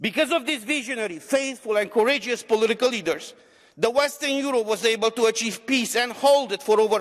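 An extremely high-pitched male voice at a fairly quick pace, with ordinary pitch variation over a quiet background. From Romania. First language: Romanian. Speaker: member of parliament. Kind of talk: parliament speech. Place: hall. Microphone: podium.

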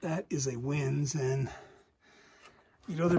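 A man's somewhat breathy voice, fairly slow in pace, with ordinary pitch variation. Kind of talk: casual exploration commentary. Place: tunnel cave. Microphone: phone near.

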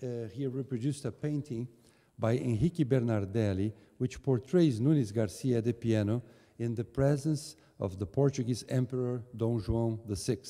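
This man's dark, mellow tone shows ordinary pitch variation against a quiet background. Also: moderate pace. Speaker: host giving opening remarks. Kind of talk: formal speech. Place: hall. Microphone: podium.

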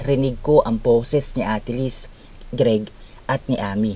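Ordinary pitch variation runs through a man's dark, mellow voice, which sits at a medium pitch. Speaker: horror story narrator. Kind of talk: scripted horror story narration in first person, with quoted dialogue. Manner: dramatic, suspenseful, voicing characters' lines.

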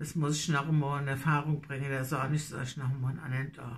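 In a Hessian accent, a woman speaks at a moderate pace. Her voice is somewhat breathy. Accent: Nassau Hessian dialect. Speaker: dialect storyteller. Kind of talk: casual talk to camera. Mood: nostalgic, warm. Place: home room. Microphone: phone near.

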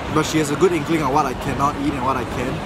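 Music plays in the background. The sound is dry, with no echo. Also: man. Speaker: vlogger. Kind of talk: casual vlog chat. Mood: a bit down. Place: market. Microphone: phone near.

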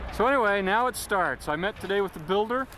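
The voice moves at a moderate pace in a dry recording with no echo and light background noise. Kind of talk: casual home video narration. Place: open country. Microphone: old recording.

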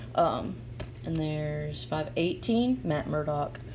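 A woman at a very slow pace over light background noise. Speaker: comic collector. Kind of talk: casual vlog chat. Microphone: phone near.

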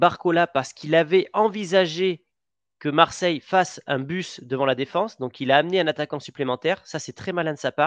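A man talks at a fairly quick pace in a normal speaking voice, fairly high in pitch with ordinary pitch variation. The background is quiet and the sound is dry, with no echo. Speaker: football podcast host. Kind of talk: casual sports chat. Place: home room. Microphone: headset.

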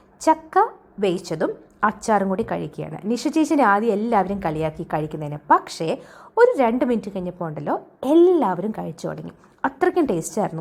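A woman speaks at a medium pitch with very wide pitch swings. Vocal fry runs through her voice. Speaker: travel and lifestyle vlogger. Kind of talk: vlog voiceover narration.

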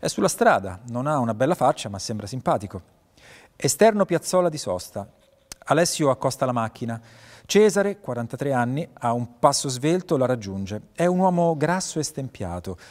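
Against a quiet background, a man speaks at a fairly quick pace with long, frequent pauses and very wide pitch swings. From Italy. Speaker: actor and voice actor (dubbing). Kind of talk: short-film script reading, narrating scene directions and playing all characters. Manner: neutral narration of scene directions. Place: stage.

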